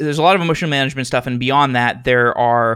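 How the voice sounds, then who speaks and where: On a very clean recording with a silent background, a man speaks in an unremarkable speaking voice at medium pitch with fairly even intonation. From Texas, Austin. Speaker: software engineer and podcast host. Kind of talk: interview conversation.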